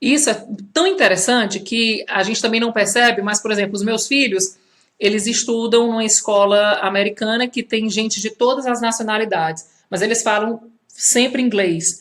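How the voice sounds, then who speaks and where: In a strong Ceará accent, a woman speaks at a moderate pace with a fairly high pitch and ordinary pitch variation. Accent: strong Ceará (Northeast Brazil). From Brazil, Fortaleza (Ceará). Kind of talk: live social media talk. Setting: Instagram live video. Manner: conversational, with many fillers.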